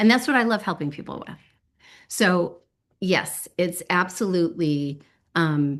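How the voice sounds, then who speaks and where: A woman's fairly low, lively voice at a fairly slow pace, with long, frequent pauses and big swings in loudness against a quiet background. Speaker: animal communication teacher. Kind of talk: online class teaching.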